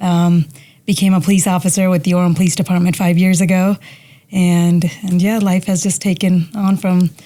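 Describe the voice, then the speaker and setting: At a moderate pace, the speaker uses a somewhat breathy, dark, mellow tone with a slight Indian accent, very even loudness, and monotone, flat intonation. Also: woman, medium pitch for a woman. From India, moved to Utah at ten. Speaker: police officer. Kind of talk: casual interview.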